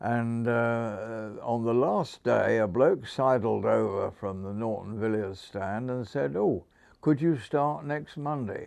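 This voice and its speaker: Speaking with a Hampshire accent, a man talks at a very slow pace with lively intonation. He hardly pauses, and the background is quiet. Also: medium pitch for a man. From southern England (Hampshire). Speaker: former motorcycle sales manager. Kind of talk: interview storytelling. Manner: halting, many fillers; stammers slightly.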